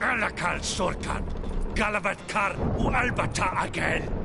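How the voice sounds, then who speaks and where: A man's put-on character voice, high-pitched and fairly slow, over loud background noise. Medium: video game. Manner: harsh, commanding.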